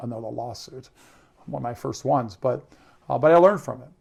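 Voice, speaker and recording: A man's voice sits at a medium pitch. It carries a somewhat breathy quality. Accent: American. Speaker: entrepreneur and author. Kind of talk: interview. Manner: fast.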